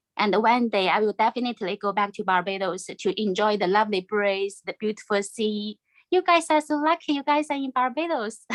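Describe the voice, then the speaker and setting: Speaking with a Chinese accent, a woman talks at a fairly high pitch and fairly quick pace with lively intonation and hardly any pauses. The sound is dry and close, with no echo. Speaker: former volunteer Chinese language teacher. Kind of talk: farewell remarks at online event. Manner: halting.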